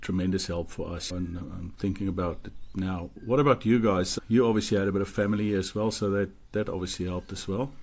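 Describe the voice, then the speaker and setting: A man with a South African accent and a fairly low voice speaks at a fairly quick pace with fairly even intonation. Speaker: podcast co-host. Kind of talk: casual chat.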